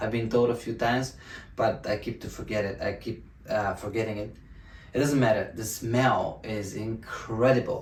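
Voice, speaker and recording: A man with a Bulgarian accent speaks at a moderate pace with a medium pitch and fairly even intonation. There is audible room echo and noticeable background noise. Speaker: self-help video host. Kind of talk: motivational talk to camera. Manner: halting, many fillers and restarts.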